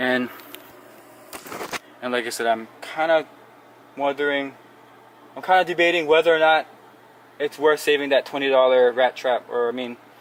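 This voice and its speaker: A man with a fairly high pitch talks at a moderate pace with fairly even intonation and long, frequent pauses. Background noise is noticeable. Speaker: homeowner vlogger. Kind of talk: casual tutorial vlog. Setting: in a hot attic. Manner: hesitant, filler-heavy.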